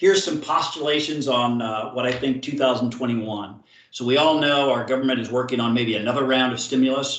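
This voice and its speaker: A man speaks at a medium pitch with fairly even intonation while noticeable background noise runs underneath. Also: fairly quick pace, hardly any pauses. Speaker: sales manager presenting to partners. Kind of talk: webinar presentation. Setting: virtual seminar. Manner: fast.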